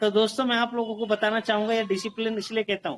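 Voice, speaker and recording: A man speaks with a high-pitched voice. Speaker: network marketing motivational speaker. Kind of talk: motivational speech to online group.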